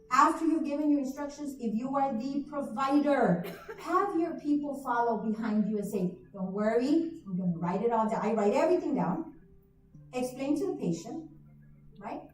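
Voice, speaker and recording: Music plays in the background as a woman with a high pitch and lively intonation talks at a moderate pace, her voice carrying audible room echo. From South Texas border (McAllen/Reynosa). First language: Spanish. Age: 40s. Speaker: nurse practitioner, conference presenter. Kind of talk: conference talk. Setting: stage with audience, livestreamed.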